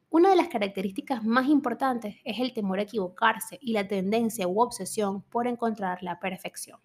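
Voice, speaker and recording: The voice is somewhat breathy, with ordinary pitch variation. It moves at a moderate pace with hardly any pauses. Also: woman, fairly high pitch for a woman. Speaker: podcast host, psychology. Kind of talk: educational monologue. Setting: home recording, early morning.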